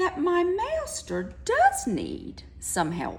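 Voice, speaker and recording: A put-on character voice comes through at a very slow pace over clear background noise. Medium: read story.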